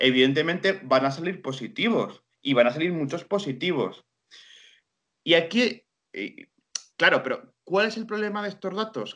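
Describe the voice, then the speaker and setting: A high-pitched man speaks at a fairly slow pace in a bright, sharp tone. His pitch swings very widely. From Spain, Guadalajara (Castilla-La Mancha). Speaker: historian and journalist. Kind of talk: interview.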